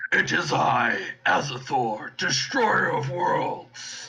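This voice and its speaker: A man puts on a raspy character voice and speaks at a very slow pace. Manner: demonic.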